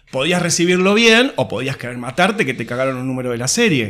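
A man at a very fast pace, bright, sharp tone, very wide pitch swings. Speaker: comics expert. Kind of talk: casual chat.

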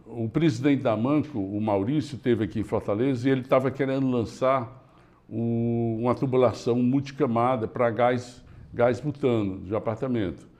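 The man has a plain, everyday voice at a medium pitch. His intonation stays fairly even. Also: moderate pace. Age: 60s. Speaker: engineering company founder. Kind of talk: interview.

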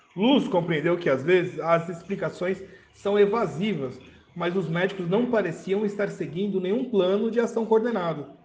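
A man with a high pitch and ordinary pitch variation is heard with audible room echo. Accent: Brazilian. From Brazil. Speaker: podcast host reading a medical article. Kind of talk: reading aloud with commentary. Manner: halting, with filler words.

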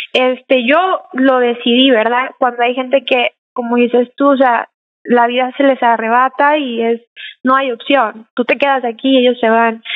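At a fairly slow pace, a woman speaks with a high pitch, monotone, flat intonation and very even loudness. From Mexico. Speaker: painter. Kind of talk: interview.

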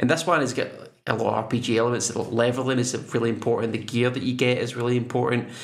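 This man talks at a very fast pace and medium pitch with a Scottish accent. His intonation is monotone and flat. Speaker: podcast co-host. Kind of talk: casual chat.

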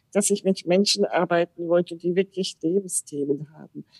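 Recorded dry and close with no echo, a woman speaks at a medium pitch and a moderate pace with fairly even intonation. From Austria (Salzburg), German parents. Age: 50s. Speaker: podcast guest, wheelchair user. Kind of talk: casual interview.

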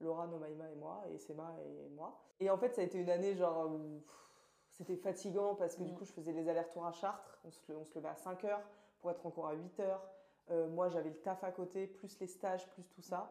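A dark, mellow tone with fairly even intonation and big swings in loudness. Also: woman, fairly low pitch for a woman, fairly quick pace. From Orléans, France. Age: 20s. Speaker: master's student. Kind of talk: casual chat.

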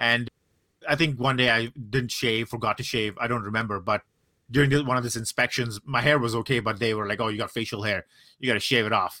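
A man at a very fast pace, medium pitch and fairly even intonation, his tone bright and sharp, the sound dry and close with no echo. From South and Southeast Asia (India, Singapore, Brunei). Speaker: podcast co-host. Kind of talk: casual chat. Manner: halting with many fillers.

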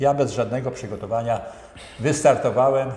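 Audible room echo surrounds the talking of a man. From central Poland, Bełchatów area. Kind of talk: interview.

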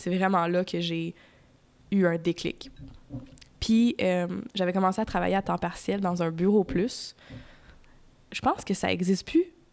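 A woman with a Quebec accent and a medium pitch speaks at a fairly slow pace, leaving long, frequent pauses. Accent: Québécois French. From Quebec (raised from age 10, born Ontario). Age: 20s. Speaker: podcaster. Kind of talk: personal monologue. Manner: hesitant, many fillers.

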